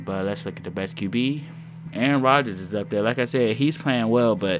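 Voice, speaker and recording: A man's intonation is lively as music plays behind him. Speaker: gaming YouTuber. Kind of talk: gameplay commentary.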